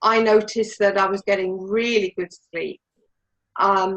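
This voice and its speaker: A woman speaks at a moderate pace in an ordinary speaking voice, her medium pitch and fairly even intonation captured with a dry, close sound and no echo. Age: 60s. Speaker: product user giving testimony. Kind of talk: testimony.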